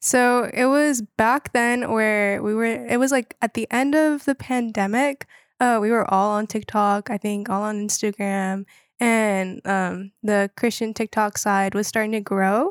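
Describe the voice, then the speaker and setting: A woman with an American accent speaks in a plain, everyday voice at a fairly high pitch and a fairly slow pace with fairly even intonation, recorded very cleanly against a silent background with a dry, close sound and no echo. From North Carolina, Wilmington. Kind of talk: casual faith interview. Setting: in person, Chicago.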